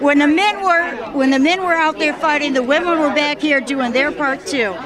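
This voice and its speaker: Over noticeable background noise, a woman with an American accent talks at a high pitch and a moderate pace, with ordinary pitch variation. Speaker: interviewer. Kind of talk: interview. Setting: airport hangar event.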